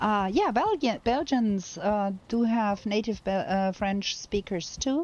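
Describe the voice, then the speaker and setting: With a German accent, a woman speaks at a very slow pace with hardly any pauses, her fairly high pitch showing ordinary variation. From Germany. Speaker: video game streamer. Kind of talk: live gameplay commentary. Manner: halting.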